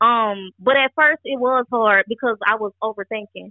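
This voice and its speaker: A woman with a normal speaking voice and an American accent speaks in a fairly high pitch with ordinary pitch variation. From Georgia, US (from age four). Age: 20s. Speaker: musician, songwriter. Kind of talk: interview.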